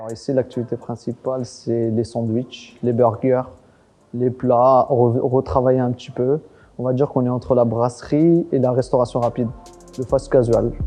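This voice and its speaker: With monotone, flat intonation, this man talks at a medium pitch. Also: moderate pace. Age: 30s. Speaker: restaurant owner. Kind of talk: interview monologue. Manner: casual, hesitant with fillers.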